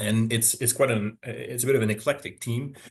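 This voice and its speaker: With fairly even intonation, a man speaks at a fairly low pitch and a moderate pace. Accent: Quebec. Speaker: forestry professor. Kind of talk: webinar lecture. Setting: online webinar. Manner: hesitant, many fillers.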